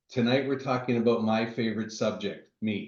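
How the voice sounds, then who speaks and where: In a room with audible echo, a man speaks at a moderate pace and medium pitch with fairly even intonation. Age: 50s. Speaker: real estate investor. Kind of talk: presentation.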